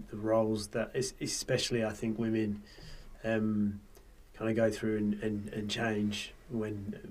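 With an Australian accent, a man talks at a fairly slow pace in a fairly low pitch and a monotone, flat intonation. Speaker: podcast host. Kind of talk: casual chat. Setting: studio.

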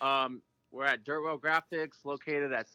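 The man's tone is bright and sharp. His intonation stays flat and monotone. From South Dakota (Aberdeen). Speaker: graphic designer. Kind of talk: casual chat.

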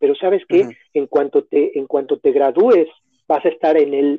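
A man speaks with a Mexico City accent at a fairly slow pace and ordinary pitch variation. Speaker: educational consultant. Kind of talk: interview.

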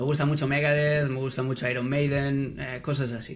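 A man in a Castilian accent with a fairly high pitch at a moderate pace, amid noticeable background noise and audible room echo. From Catalonia, Spain. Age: 40s. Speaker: football pundit. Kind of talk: podcast interview.

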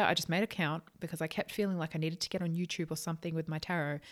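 A woman with an Australian accent. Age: 20s. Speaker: psychic channel, podcast host. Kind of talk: casual monologue. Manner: fast.

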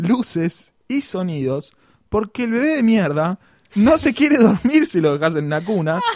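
With very wide pitch swings, a man keeps to a moderate pace. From Argentina, Buenos Aires province. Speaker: podcast host. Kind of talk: casual comedic chat.

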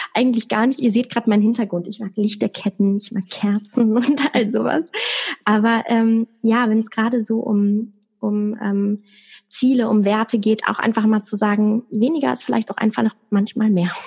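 A woman with a fairly high pitch and an unremarkable speaking voice at a moderate pace. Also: fairly even intonation. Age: 20s. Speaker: stroke survivor. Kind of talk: interview.

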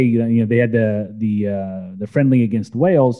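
A man with an ordinary speaking voice keeps a medium pitch, ordinary pitch variation and a moderate pace. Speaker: soccer podcast host. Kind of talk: casual panel discussion.

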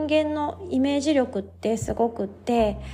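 In a Kansai accent, a woman speaks high in pitch with ordinary variation, her tone dark, mellow, relaxed and gentle. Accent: Kansai Japanese. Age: 30s. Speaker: yoga instructor and podcast host. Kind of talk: casual solo talk; guided meditation. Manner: relaxed, gentle.

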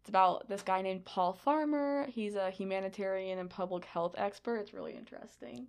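A woman of medium pitch speaks at a moderate pace in a very clean recording with a silent background. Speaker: student podcast host. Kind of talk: casual chat.

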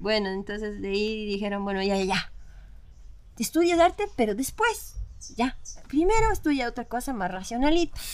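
A woman with a fairly high pitch speaks at a moderate pace, her lively intonation broken by long, frequent pauses. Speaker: metal vocalist and artist. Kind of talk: casual chat.

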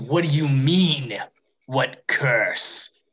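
A man hisses in a put-on character voice pitched fairly high. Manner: hissing.

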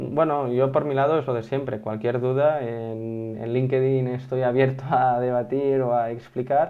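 A man speaks at a fairly slow pace with hardly any pauses, in an unremarkable speaking voice. His pitch is medium and his intonation fairly even. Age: 20s. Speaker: SEO consultant. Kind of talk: interview.

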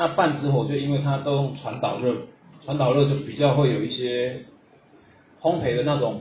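Talking at a moderate pace with a fairly high pitch and fairly even intonation, a man leaves long, frequent pauses over noticeable background noise and audible room echo. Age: 40s. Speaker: coffee roasting instructor. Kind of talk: lecture. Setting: classroom with audience.

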